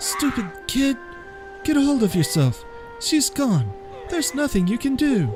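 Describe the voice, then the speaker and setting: With clear music playing behind him, a man does a put-on character voice at an extremely high pitch and a moderate pace. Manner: scolding, forceful.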